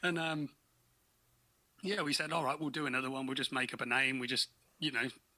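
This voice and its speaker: With an English accent, a man of medium pitch speaks very fast in a bright, sharp tone, his intonation fairly even and broken by long, frequent pauses. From England, Peterborough. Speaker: podcast co-host, guest. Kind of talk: casual chat.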